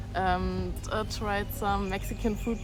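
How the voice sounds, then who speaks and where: A woman speaks at a moderate pace in a German accent. Audible room echo and noticeable background noise surround her voice. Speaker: travel vlogger. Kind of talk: travel vlog. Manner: hesitant, many fillers.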